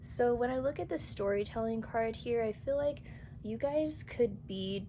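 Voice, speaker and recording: Audible room echo hangs around this voice. A woman is talking fairly slowly. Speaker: tarot reader. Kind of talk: tarot reading to camera. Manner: casual.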